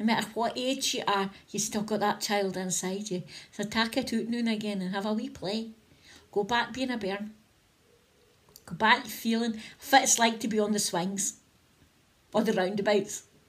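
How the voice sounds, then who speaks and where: Woman in a northeast Scottish accent, fairly high and somewhat breathy, moderate pace, fairly even intonation, long and frequent pauses. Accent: north-east Scottish (Doric). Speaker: spiritual vlogger. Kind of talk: casual inspirational talk to camera. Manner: chatty, conversational.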